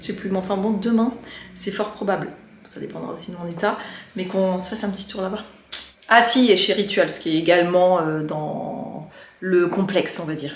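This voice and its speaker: A woman talks at a moderate pace, with long, frequent pauses. Room echo can be heard. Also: fairly even intonation. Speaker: lifestyle vlogger; vlogger. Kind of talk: casual vlog narration. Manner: chatty, hesitant with fillers. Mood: relaxed, chatty. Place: home room. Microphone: phone near.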